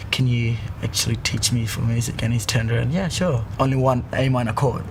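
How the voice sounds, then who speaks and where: A man's fairly quick speech carries audible room echo, with noticeable noise in the background. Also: medium pitch for a man, ordinary pitch variation, very even loudness. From Arnhem Land, Northern Territory, Australia. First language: Yolngu Matha. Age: 20s. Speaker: musician. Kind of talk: interview. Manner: halting.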